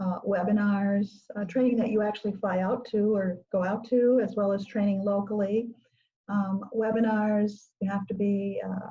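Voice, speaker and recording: Speaking at a moderate pace, a woman with a medium pitch and a dark, mellow tone sounds somewhat breathy, her intonation monotone and flat. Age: 70s. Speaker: grant writing consultant. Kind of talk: interview.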